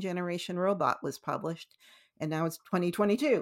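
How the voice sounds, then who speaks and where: Very fast speech with a Canadian accent, on a very clean recording with a silent background. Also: woman. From Canada, Italian Canadian family. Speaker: novelist. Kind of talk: interview. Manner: halting, many fillers and restarts.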